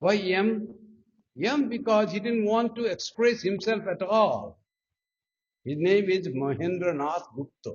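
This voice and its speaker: A man in a Nepali accent, high-pitched and lively in intonation, at a fairly slow pace with long, frequent pauses. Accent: South Asian (Nepali) English. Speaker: monk. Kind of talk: spiritual talk.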